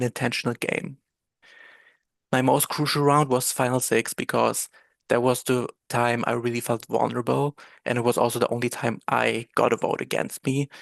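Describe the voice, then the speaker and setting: In a German accent, a man speaks at a moderate pace in a medium pitch with monotone, flat intonation, the sound dry and close with no echo against a quiet background. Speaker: reality game contestant. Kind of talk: prepared speech read from script. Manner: halting.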